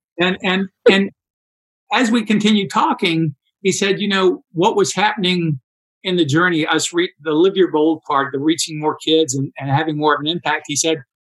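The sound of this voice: At a moderate pace, a man talks with fairly high pitch, a fairly bright tone and fairly even intonation.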